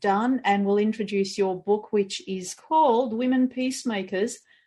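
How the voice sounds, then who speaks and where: A woman speaks with an Australian accent at a moderate pace. Her pitch is fairly high. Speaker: podcast host and couples therapist. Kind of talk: interview podcast.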